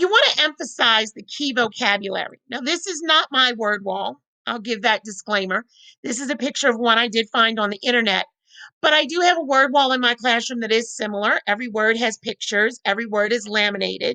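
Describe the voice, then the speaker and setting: A woman speaks loudly and at a fairly quick pace, her fairly high pitch varying in an ordinary way. Her tone is bright and sharp, and the sound is dry and close with no echo. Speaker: teacher. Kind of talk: professional development presentation.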